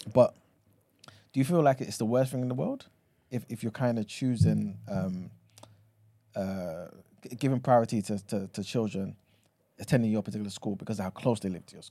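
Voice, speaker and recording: With a London accent, a man speaks at a fairly quick pace and a fairly low pitch, his tone dark and mellow and his speech broken by long, frequent pauses. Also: ordinary pitch variation. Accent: London multicultural English. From London, with childhood time in Ghana. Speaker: news podcast co-host and producer. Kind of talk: casual chat. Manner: animated, laughs often.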